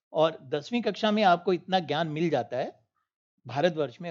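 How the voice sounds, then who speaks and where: A man with a Punjabi accent against a quiet background. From northern India, Punjabi-speaking. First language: Punjabi (speaking Hindi). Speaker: panel speaker. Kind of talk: panel discussion. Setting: auditorium, online broadcast.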